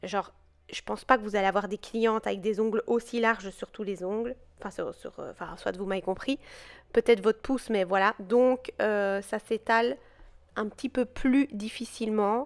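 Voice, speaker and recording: A woman's fairly high voice with fairly even intonation at a moderate pace, dry and close with no echo, on a very clean recording with a silent background. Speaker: nail technician tutorial creator. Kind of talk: tutorial. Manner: hesitant, stumbling over words.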